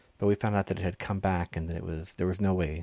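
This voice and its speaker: A man's very deep, low voice with a Texan accent, a dark, mellow tone and ordinary pitch variation. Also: very clean recording, silent background. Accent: Texan American English. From Texas. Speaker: pastor. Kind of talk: sermon. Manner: halting.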